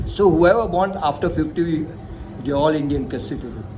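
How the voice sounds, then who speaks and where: A man at a moderate pace, amid audible room echo and noticeable background noise. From India, Mumbai. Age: 70s. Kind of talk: interview. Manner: halting.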